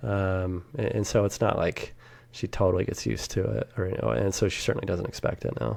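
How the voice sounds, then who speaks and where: Soft-spoken with vocal fry, a man talks at a fairly quick pace in a fairly low voice with lively intonation. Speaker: SEO business owner. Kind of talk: casual interview chat.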